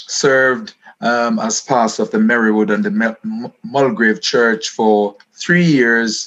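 A man speaks at medium pitch and a very slow pace, with lively intonation and hardly any pauses. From Jamaica (Highgate, St. Mary). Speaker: pastor and author. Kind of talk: interview about his book. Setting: video call.

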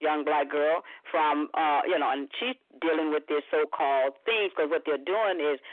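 A moderate pace in a Southern US accent. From Mississippi, Tate County. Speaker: caller. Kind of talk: casual chat. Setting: phone call.

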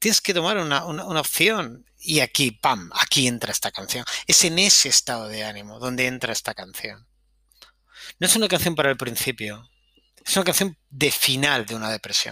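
In a bright, sharp tone, a man of medium pitch speaks with a Spanish accent at a moderate pace, his pitch swinging very widely. The recording is very clean with a silent background and has a dry, close sound with no echo. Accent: Peninsular Spanish. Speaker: podcast host, music commentator. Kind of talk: casual solo music commentary. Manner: animated.

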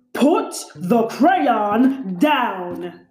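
A put-on character voice with a fairly high pitch carries a slight echo. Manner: growling.

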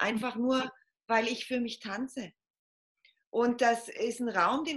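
A bright, sharp tone from a woman pitched high. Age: 40s. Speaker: podcast guest on femininity. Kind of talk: casual interview.

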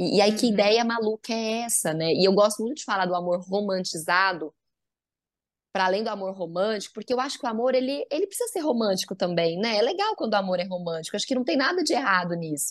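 A woman speaks very fast at a medium pitch, her intonation lively against a quiet background. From Goiás, Brazil. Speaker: psychologist. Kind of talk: podcast interview.

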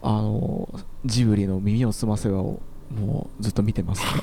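A man with a normal speaking voice talks at a fairly low pitch. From Osaka outskirts, Japan. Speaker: electronic musician. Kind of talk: casual chat.

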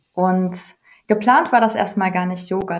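A woman talks at a moderate pace and medium pitch. Her voice is somewhat breathy, with ordinary pitch variation. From Ruhr area, Germany. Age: 30s. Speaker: yoga and mindfulness entrepreneur. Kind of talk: interview.

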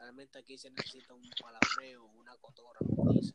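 A man is whispering against noticeable background noise. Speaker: podcast co-host. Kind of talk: casual chat.

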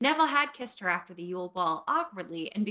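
The voice is an unforced reading voice. The speaker reads the text aloud.

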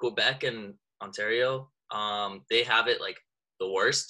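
At a fairly slow pace, a man speaks with a Canadian accent. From Canada. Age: 20s. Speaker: rapper and university student. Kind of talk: casual interview chat.

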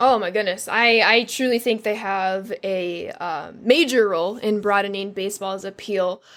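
A woman with an American accent speaks in an unremarkable speaking voice at a moderate pace, with ordinary pitch variation and hardly any pauses. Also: medium pitch for a woman, very clean recording, silent background. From US Midwest, southwest Chicago. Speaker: Twitch streamer. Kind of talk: casual interview chat.

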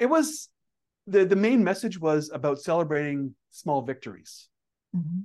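The background is quiet. Over it, a man talks with a high pitch. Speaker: Toastmaster club leader. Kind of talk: interview. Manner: fast talker.

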